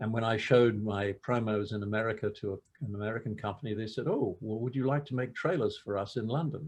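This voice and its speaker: Somewhat breathy, the voice races at a very fast pace with hardly any pauses. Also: man, medium pitch for a man, ordinary pitch variation. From England. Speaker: film director. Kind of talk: interview. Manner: halting, many fillers and repeats.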